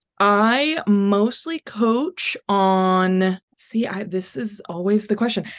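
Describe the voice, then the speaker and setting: At a very slow pace with hardly any pauses, the speaker talks with an American accent and ordinary pitch variation. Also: woman, medium pitch for a woman. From North Texas. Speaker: life coach. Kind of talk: casual chat.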